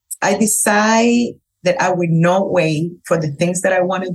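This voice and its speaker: A woman with a Cuban accent speaks at a fairly slow pace in a somewhat breathy voice with ordinary pitch variation. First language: Spanish. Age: 40s. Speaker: hairstylist. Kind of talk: casual chat. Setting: trade show. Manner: animated.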